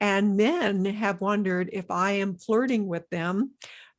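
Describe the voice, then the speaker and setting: A woman speaks at a medium pitch with fairly even intonation, recorded very cleanly against a silent background. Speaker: nurse and podcast host. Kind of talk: interview podcast. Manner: careful enunciation.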